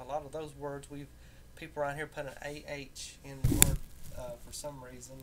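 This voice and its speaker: Audible room echo surrounds a man speaking with an American accent. Music plays in the background. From US South, rural Tennessee near Nashville (southern Appalachia). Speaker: vlogger. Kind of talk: casual monologue. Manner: halting, many fillers.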